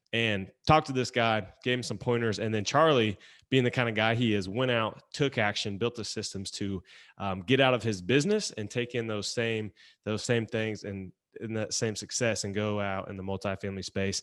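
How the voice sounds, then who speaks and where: A man's fairly low voice with a slight Southern US accent, moderate pace, and fairly even intonation over a quiet background. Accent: slight Southern twang. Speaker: podcast host. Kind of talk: podcast interview. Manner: casual.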